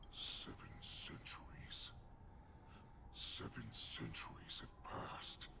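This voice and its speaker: Whispering in a put-on character voice, a man talks at a very slow pace with long, frequent pauses over loud background noise. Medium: video game. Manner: arrogant, contemptuous.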